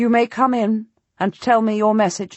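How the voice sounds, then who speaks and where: A put-on character voice at a moderate pace, sounding strained, with monotone, flat intonation. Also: woman. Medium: read story. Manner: restrained, commanding, clipped.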